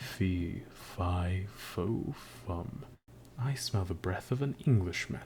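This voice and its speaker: Against clear background noise, a man does a booming put-on character voice, fairly low in pitch and at a very slow pace. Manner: terrible, booming, menacing.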